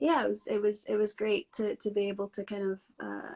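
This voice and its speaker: This woman speaks in a Scottish accent at a moderate pace. The sound is dry and close, with no echo. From Scotland. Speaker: actress. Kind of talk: casual interview chat.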